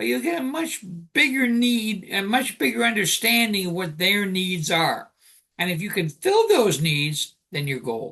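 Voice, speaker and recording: Projecting a raised voice, a man with a high pitch and a bright, sharp tone speaks at a fairly slow pace with very wide pitch swings. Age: 60s. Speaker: life coach and author. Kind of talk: interview.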